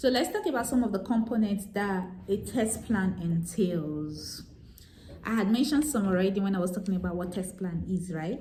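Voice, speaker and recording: Speech at a moderate pace with ordinary pitch variation comes through noticeable background noise and audible room echo. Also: woman, medium pitch for a woman. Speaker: software tester and vlogger. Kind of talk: tutorial. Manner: hesitant, many fillers.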